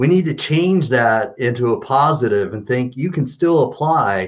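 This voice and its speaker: A man talks with an American accent in a plain, everyday voice, fairly high-pitched. His intonation is lively and his pace moderate. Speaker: kidney patient awaiting transplant. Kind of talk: live-streamed interview.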